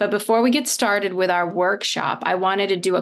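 A woman speaks at a medium pitch and a fairly quick pace, with vocal fry. Her intonation is fairly even, over a quiet background. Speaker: scientist and science communicator. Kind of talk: meeting hosting. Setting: video call. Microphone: video call.

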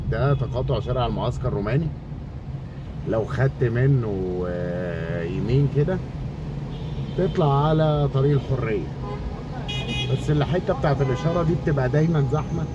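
A man with long, frequent pauses, loud background noise and a dry sound with no echo. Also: ordinary pitch variation, moderate pace. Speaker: channel host. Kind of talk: driving route commentary. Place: car. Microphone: phone near.

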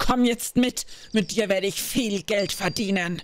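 A female-sounding voice puts on a character at a medium pitch. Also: moderate pace. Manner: menacing, evil.

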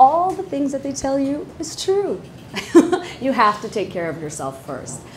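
A woman talks at a moderate pace, and light background noise can be heard. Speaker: panel moderator. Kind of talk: panel moderation, casual talk. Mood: warm, joking. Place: hall. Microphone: lapel.

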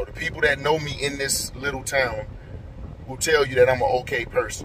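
Monotone, flat intonation comes at a moderate pace over light background noise. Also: man. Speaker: vlogger. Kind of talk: casual vlog chat. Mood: frustrated, reflective. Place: car. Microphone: phone near.

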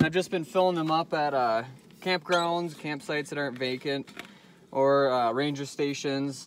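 Recorded with a dry sound with no echo and light background noise, a man talks at a moderate pace. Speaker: vehicle dweller vlogger. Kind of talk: casual vlog chat. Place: open country. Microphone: phone near.

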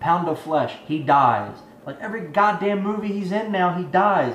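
With lively intonation and a high pitch, a man talks at a moderate pace over light background noise, with audible room echo. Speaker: movie review youtuber. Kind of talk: angry rant, profanity-filled movie review. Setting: home video channel, solo to camera. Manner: ranting, irate, emphatic, defiant, swearing. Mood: frustrated, exasperated. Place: home room. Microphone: webcam.

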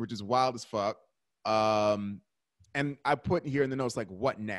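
A man is talking at a moderate pace. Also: quiet background. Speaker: podcast host. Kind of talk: casual podcast commentary. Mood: laid-back, joking. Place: home room. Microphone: studio mic.

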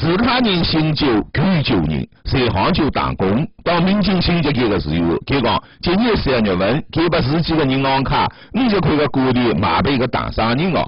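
With a Zhejiang accent, a man of fairly high pitch speaks at a moderate pace with very wide pitch swings, very even loudness and hardly any pauses, over noticeable background noise. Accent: Taizhou dialect. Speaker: TV news reporter. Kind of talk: TV news voice-over narration.

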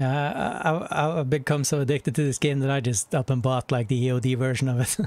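A man talks at a very fast pace with fairly even intonation. The sound is dry, with no echo. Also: very even loudness. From northern Norway. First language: Norwegian. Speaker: gaming streamer. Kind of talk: casual chat. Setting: live stream. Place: home room.

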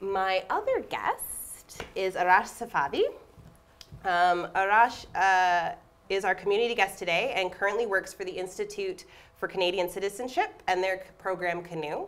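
A woman's unremarkable speaking voice, medium in pitch, with fairly even intonation and a moderate pace. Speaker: theatre associate artistic director and moderator. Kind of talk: moderated panel talk. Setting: stage with live audience. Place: stage.

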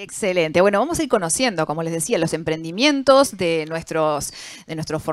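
A woman with an ordinary speaking voice talks at a moderate pace with lively intonation, and the sound is dry with no echo. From Uruguay. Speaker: panel moderator. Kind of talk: moderated panel discussion. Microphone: handheld.

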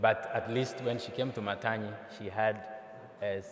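A man's fairly low-pitched voice with fairly even intonation at a moderate pace in audible room echo. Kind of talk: conference talk. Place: hall. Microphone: podium.

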